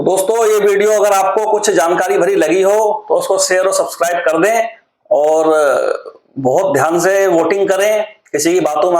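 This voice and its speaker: A man talks with a high pitch. The rise and fall of his voice is ordinary. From Uttarakhand, India (Rudrapur). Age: 30s. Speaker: political commentary vlogger. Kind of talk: monologue vlog commentary. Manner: casual, hesitant with fillers.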